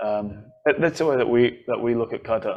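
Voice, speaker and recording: Against a quiet background, a man talks at a moderate pace. His pitch is medium. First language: not English. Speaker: karate instructor and podcast host. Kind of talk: casual podcast monologue. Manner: hesitant, many repetitions and fillers.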